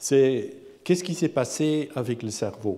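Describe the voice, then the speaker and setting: A man with a non-native accent, a dark, mellow tone, ordinary pitch variation and a fairly slow pace, amid audible room echo. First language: not French (speaking French). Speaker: professor, AI researcher. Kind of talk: lecture. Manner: halting, repeats words.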